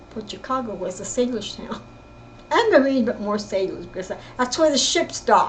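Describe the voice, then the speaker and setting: Noticeable background noise sits under a woman speaking at a moderate pace in a high pitch. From California, East Bay. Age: 70s. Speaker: family storyteller. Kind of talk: personal storytelling. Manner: halting, with self-corrections.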